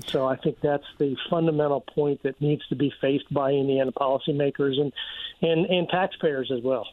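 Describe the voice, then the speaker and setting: A man with an American accent speaks in an ordinary speaking voice, with a fairly high pitch, fairly even intonation and very even loudness. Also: moderate pace. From Virginia. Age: 60s. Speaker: economics professor. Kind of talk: radio interview.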